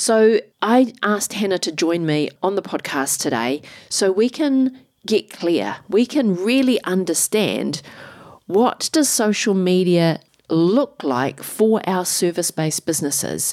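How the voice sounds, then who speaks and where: Delivered at a fairly slow pace with a New Zealand accent, the speech has very wide pitch swings. The sound is dry and close, with no echo. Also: woman, medium pitch for a woman. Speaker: podcast host and business strategist. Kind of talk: podcast intro and interview.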